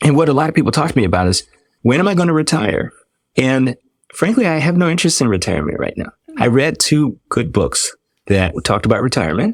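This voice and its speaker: A man with an American accent talks at a very fast pace, his pitch fairly high. His pitch swings very widely, with vocal fry. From Washington DC area. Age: 60s. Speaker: dermatologist. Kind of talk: podcast interview.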